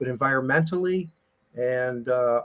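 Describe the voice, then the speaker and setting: In a plain, everyday voice, a man speaks at a moderate speed. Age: 60s. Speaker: retired football player. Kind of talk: casual chat.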